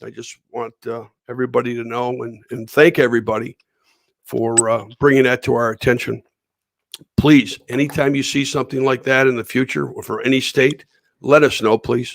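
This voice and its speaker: A man with a Western New York accent speaks at a medium pitch. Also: fairly even intonation, moderate pace, dry, close sound with no echo. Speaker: livestream host. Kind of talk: live-stream interview. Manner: halting, many fillers.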